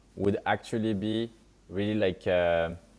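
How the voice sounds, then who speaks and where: Speaking at a moderate pace with fairly even intonation, a man has a strong French accent. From France. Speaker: startup founder and CEO. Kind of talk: podcast interview.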